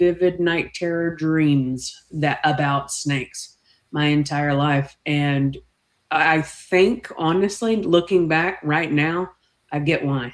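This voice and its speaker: Speaking at a very slow pace, a woman with a very deep, low pitch and a Texan accent uses ordinary pitch variation. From Texas, small town near Fort Worth. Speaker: snake keeper. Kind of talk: casual chat.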